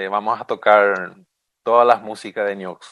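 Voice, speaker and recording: His tone comes across bright and sharp. The man takes a fairly slow pace. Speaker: radio show co-host. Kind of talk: casual radio chat.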